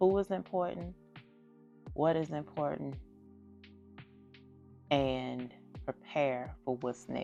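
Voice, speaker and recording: A woman speaks at a very slow pace with long, frequent pauses and a very deep, low pitch that swings very widely. Music plays in the background. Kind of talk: faith talk to camera. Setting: phone recording.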